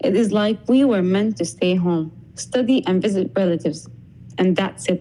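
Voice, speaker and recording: Lively intonation and a dark, mellow tone carry speech with an Arabic accent at a moderate pace, at a very even loudness. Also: woman, medium pitch for a woman. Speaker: podcast guest. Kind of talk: scripted conversation.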